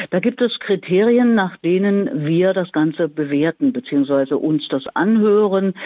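A woman's normal speaking voice at medium pitch, moderate pace, with hardly any pauses, lively intonation, and very even loudness. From Thuringia, Erfurt. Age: 60s. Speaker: radio presenter and communication coach. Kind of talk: interview. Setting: phone call.

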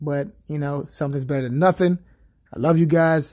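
A man's voice has a fairly high pitch and a dark, mellow tone. The intonation is fairly even. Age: 30s. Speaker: podcast host and athletic trainer. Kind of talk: solo podcast monologue. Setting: sitting at home on couch. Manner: hesitant with filler words.

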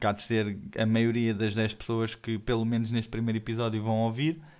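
Against a quiet background, the speaker talks with a European Portuguese accent. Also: man. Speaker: podcast host and stand-up comedian. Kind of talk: stand-up comedy.

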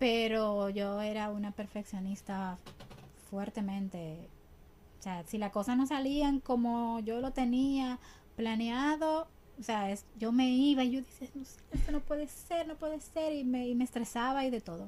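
A woman's fairly high voice carries a dark, mellow tone. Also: ordinary pitch variation, fairly slow pace. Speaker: ballet dancer and teacher. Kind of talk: interview. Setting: studio.

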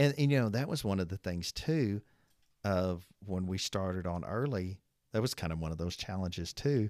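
Speaking at a moderate pace with lively intonation, a man with an American accent has a very deep, low pitch. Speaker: trucking business owner. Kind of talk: casual chat.

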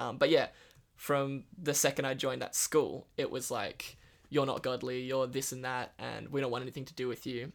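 Here a man in an Australian accent talks at a moderate pace with vocal fry and monotone, flat intonation. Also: medium pitch for a man. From northern Western Australia. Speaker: recovering addict sharing his story. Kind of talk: testimony.

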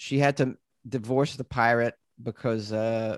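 A man speaks with a Boston accent at a medium pitch. The sound is dry and close, with no echo. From Massachusetts. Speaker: comedian and podcaster. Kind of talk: casual chat.

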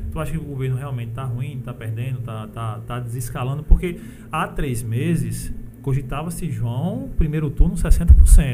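The voice has a northeastern Brazilian accent. Noticeable background noise and audible room echo fill the recording. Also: man. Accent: northeastern Brazilian Portuguese (sertão). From sertão of Paraíba, Brazil. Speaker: podcast host. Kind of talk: casual interview. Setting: studio.

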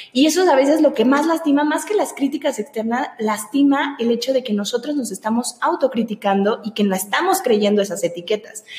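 A woman talks fairly quickly in a high pitch with lively intonation and hardly any pauses, over noticeable background noise. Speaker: podcast host. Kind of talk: casual interview.

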